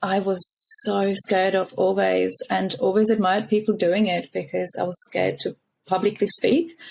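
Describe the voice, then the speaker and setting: A woman with a Czech accent at a fairly slow pace. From Czech Republic. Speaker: founder of a mothers' support community. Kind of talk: podcast interview.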